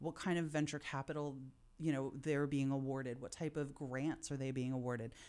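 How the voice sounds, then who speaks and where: A woman's very deep, low voice in an American accent, dark and mellow in tone, at a fairly quick pace with fairly even intonation. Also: very clean recording, silent background. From Philadelphia. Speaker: managing director of a co-working space. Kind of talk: casual interview chat.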